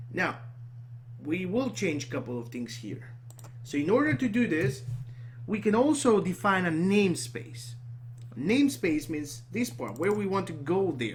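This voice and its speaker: The somewhat breathy voice moves through very wide pitch swings, broken by long, frequent pauses. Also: man, fairly high pitch for a man. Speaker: programming tutor. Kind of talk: screen-recorded coding tutorial. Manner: halting, self-correcting.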